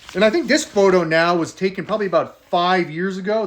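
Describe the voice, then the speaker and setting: A man with a high pitch talks in an animated tone, his pitch varying in an ordinary way. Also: quiet background. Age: 40s. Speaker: personalized video message maker. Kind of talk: personal birthday video message.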